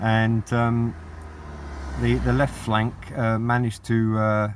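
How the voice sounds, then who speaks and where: Here a man talks at a fairly slow pace. His pitch is fairly low. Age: 60s. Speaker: hobbyist vlogger. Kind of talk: casual monologue. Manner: halting, many fillers.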